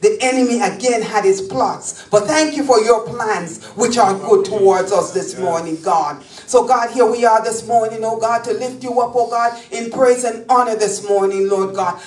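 Woman at a moderate pace with ordinary pitch variation and hardly any pauses, set against music in the background and audible room echo. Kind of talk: public prayer. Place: church.

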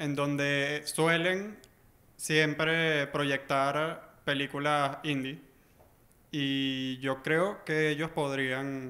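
Speaking very slowly, a man has a bright, sharp tone. His intonation stays fairly even. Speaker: audience member. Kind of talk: panel talk. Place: meeting room. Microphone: camera far.

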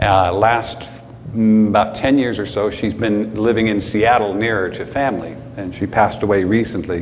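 Over light background noise, a man speaks at a fairly slow pace and a fairly low pitch in an ordinary speaking voice. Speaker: pastor. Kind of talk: church announcements. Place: church. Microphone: camera far.

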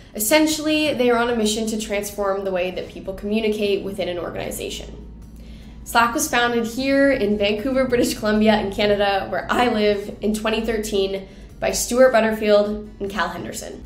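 A woman's voice at a fairly quick pace with ordinary pitch variation, amid audible room echo and faint music in the background. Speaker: host of a tech history series. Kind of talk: explainer narration to camera. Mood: upbeat, light laughs.

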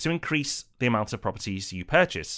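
Recorded very cleanly over a silent background, a man with a British accent speaks at a medium pitch. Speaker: property investment educator. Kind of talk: scripted educational presentation.

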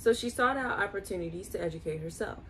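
Light background noise sits behind a woman's voice. She speaks at a fairly quick pace with lively intonation. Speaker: video host reading aloud. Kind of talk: reading aloud. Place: home room. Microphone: phone near.

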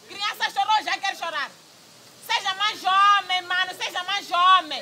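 Moderate-paced speech over crowd noise in the background. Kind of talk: scripted scolding dialogue. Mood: scornful, scolding. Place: open country.

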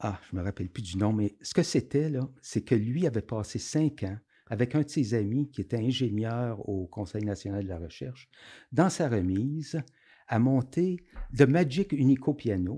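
Against a quiet background, a man's dark, mellow tone moves with lively intonation. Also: fairly slow pace. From Quebec, Outaouais (Hull area); Quebec. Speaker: former concert venue programmer; podcast guest. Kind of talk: casual interview. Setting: studio, drinking beer. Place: studio. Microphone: studio mic.

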